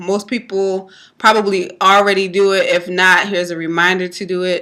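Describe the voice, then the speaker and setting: A loud woman with a bright, sharp tone at a fairly slow pace. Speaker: network marketing vlogger. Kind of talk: casual tutorial. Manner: hesitant, many fillers.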